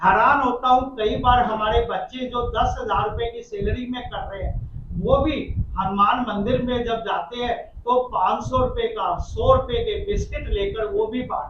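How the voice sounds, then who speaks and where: A man speaks at an extremely high pitch with lively intonation and big swings in loudness. Noticeable background noise and audible room echo surround him. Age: 60s. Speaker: community organization president. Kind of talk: press conference Q&A. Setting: press conference.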